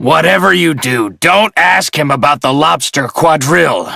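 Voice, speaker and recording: Putting on a growling character voice, a man speaks at a moderate pace with a fairly high pitch. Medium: cartoon. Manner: brusque, impatient.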